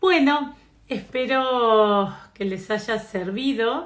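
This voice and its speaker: Very slow speech from a woman, her pitch varying in an ordinary way. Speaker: psychotherapist and astrology teacher. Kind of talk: live stream talk. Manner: hesitant fillers.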